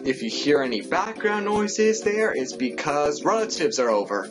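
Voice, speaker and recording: A man speaks fairly slowly while clear music plays in the background. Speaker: youtuber. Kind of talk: casual vlog chat. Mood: jokey, playful. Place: home room. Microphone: webcam.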